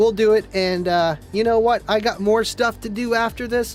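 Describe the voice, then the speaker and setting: Music plays in the background as a man speaks at a high pitch. His tone is animated and his pace fairly quick. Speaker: car audio livestream host. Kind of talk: casual livestream chat reading viewer comments. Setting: home studio livestream. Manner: stumbles over words.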